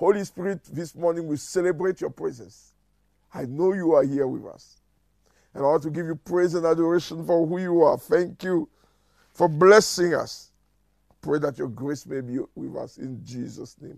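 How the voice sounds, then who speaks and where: The man's pitch sits high. The sound is dry with no echo, and the background is quiet. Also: ordinary pitch variation, moderate pace, big swings in loudness. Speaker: church minister. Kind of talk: prayer meeting address and prayer. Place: home room.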